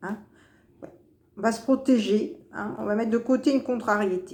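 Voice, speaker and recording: A woman's fairly high voice with big swings in loudness, ordinary pitch variation and a fairly slow pace. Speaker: tarot card reader. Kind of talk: weekly horoscope card reading. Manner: hesitant, repetitive.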